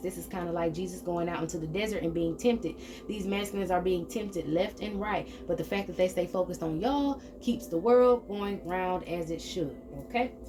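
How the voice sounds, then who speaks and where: A woman talks at a very fast pace and a medium pitch. Her pitch varies normally, and background noise is noticeable. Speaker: tarot reader. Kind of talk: spiritual reading monologue. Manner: animated.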